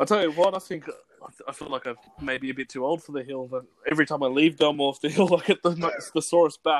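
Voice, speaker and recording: Very fast speech in an Australian accent, with long, frequent pauses, big swings in loudness, ordinary pitch variation, and a dry, close sound with no echo. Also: man, fairly high pitch for a man. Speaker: podcast co-host. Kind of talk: casual interview chat. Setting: remote recording.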